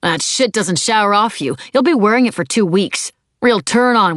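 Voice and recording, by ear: Someone is reading aloud in a natural voice. The pitch variation is ordinary and the background is quiet.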